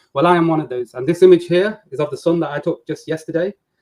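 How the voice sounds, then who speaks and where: Somewhat breathy, a man talks at a very fast pace in a dry, close sound with no echo. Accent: English. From England, Nottingham. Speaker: flat earth debater. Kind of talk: video call introduction.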